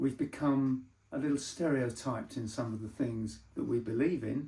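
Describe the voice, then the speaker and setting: The voice is dark and mellow, somewhat breathy. It moves at a moderate pace with ordinary pitch variation. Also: man, medium pitch for a man. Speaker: carp bait maker. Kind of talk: casual talk to camera answering questions.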